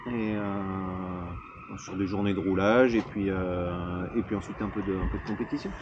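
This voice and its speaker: A man at a fairly slow pace with hardly any pauses, fairly even intonation and audible room echo. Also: fairly low pitch for a man. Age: 30s. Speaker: physiotherapist and motorcycle racer. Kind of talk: casual interview.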